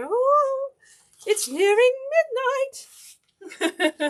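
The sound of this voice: A female-sounding put-on character voice leaps across very wide pitch swings at an extremely high pitch.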